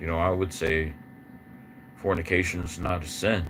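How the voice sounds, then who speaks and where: A man with a very deep, low pitch speaks at a moderate pace with fairly even intonation, and audible room echo surrounds his voice. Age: 60s. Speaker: guitarist. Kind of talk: casual monologue on livestream. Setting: live stream. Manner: halting, repetitive.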